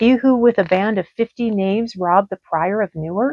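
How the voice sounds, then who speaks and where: Moderate pace, fairly high pitch, a put-on character voice. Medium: read story.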